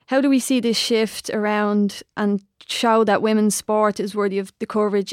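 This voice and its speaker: In a very clean recording with a silent background and a dry, close sound with no echo, a woman with an Irish accent speaks at a medium pitch in a monotone, flat intonation with hardly any pauses. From Ireland. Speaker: podcast co-host and former soccer player. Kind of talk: podcast interview.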